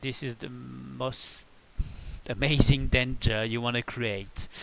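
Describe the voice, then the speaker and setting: A man is speaking. He has a French accent. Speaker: video game tutorial creator. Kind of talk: tutorial. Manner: halting.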